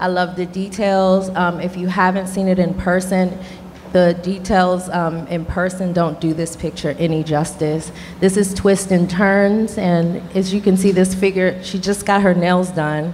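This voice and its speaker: Light background noise behind a woman speaking at a fairly slow pace with monotone, flat intonation. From Washington, D.C. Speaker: gallerist. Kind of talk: panel discussion. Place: hall. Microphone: handheld.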